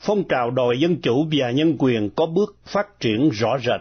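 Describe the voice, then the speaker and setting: This man speaks with lively intonation. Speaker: radio news reader. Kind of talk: news reading. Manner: formal.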